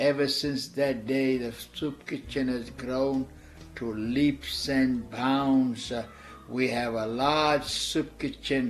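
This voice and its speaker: The pace is very slow and the intonation fairly even. Noticeable background noise runs underneath. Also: man, medium pitch for a man. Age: 60s. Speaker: missionary. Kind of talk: testimony. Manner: halting.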